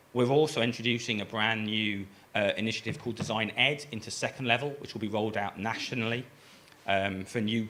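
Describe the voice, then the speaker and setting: Fairly low in pitch, a man speaks at a fairly quick pace in a bright, sharp tone with ordinary pitch variation. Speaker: design program director. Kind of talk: conference presentation. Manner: hesitant with many fillers.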